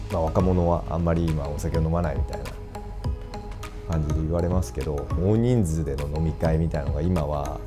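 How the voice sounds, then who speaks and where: A man at a very deep, low pitch and fairly quick pace, clear music in the background. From Fukuoka, Japan. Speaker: bartender. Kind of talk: interview answer. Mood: calm, warm, smiling. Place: bar.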